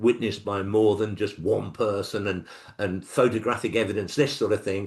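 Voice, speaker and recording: Male speech with an English accent, set against a quiet background. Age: 70s. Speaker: author. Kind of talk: interview.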